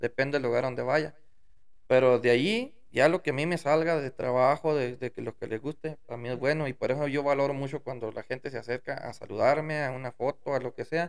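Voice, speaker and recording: A man speaks fairly quickly at a fairly high pitch. His intonation is fairly even, and the background is quiet. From Mexico, Durango sierra; Mexico. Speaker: musician; podcast guest. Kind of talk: casual interview. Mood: relaxed, storytelling. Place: studio. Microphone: studio mic.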